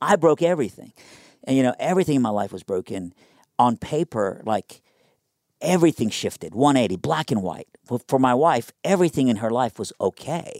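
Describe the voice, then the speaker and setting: On a very clean recording with a silent background and a dry, close sound free of echo, a man with an American accent talks in an animated tone, his pitch swinging very widely. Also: medium pitch for a man, fairly quick pace. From Iran, raised from age nine in Killeen, Texas. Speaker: pastor. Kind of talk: interview, personal testimony. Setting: studio.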